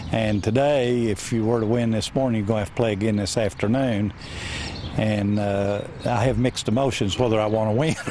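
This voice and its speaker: Fairly even intonation and very even loudness run at a fairly quick pace over noticeable background noise. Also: man, fairly low pitch for a man. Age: 60s. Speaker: senior amateur golfer. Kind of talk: interview. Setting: outdoors at a golf course. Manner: halting.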